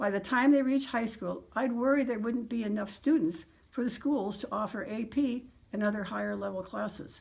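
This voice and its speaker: A woman speaks at a fairly high pitch. Vocal fry marks her voice. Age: 80s+. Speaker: retired teacher. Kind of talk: prepared personal statement. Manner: formal.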